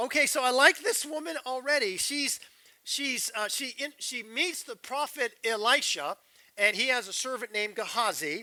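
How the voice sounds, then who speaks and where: An animated man with an American accent, his bright, sharp, raised and projected voice at an extremely high pitch, moderate pace and ordinary pitch variation. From Southern California, Riverside. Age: 60s. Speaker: pastor. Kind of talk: sermon.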